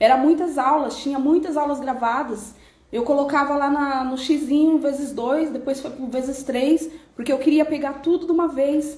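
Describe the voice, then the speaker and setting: With a Brazilian accent, a woman speaks at a high pitch in a monotone, flat intonation, with audible room echo. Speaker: personal development speaker. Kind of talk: live stream talk. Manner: fast.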